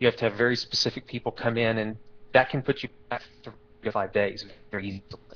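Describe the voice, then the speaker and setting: Talking fairly quickly, a man speaks with an American accent. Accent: slight Texas accent, disputed. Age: 30s. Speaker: real estate investor. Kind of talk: interview. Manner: hesitant, many fillers.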